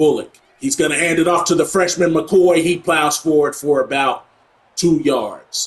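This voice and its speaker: In a plain, everyday voice, a man talks at a fairly high pitch with fairly even intonation. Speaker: gaming YouTuber. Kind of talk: gameplay commentary. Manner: play-by-play style narration.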